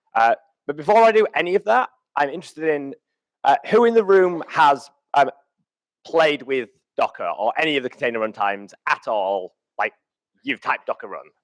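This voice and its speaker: A man's fairly high voice with a British accent, at a moderate pace with very wide pitch swings, in a dry, close sound with no echo. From UK. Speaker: conference speaker. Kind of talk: keynote talk. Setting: stage with audience. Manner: hesitant, many fillers.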